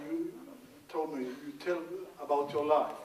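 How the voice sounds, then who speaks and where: Against noticeable background noise and audible room echo, the speech moves at a fairly slow pace. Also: man. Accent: southern Swedish. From Sweden, Scania. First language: Swedish. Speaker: former arts administrator. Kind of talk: workshop talk. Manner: halting.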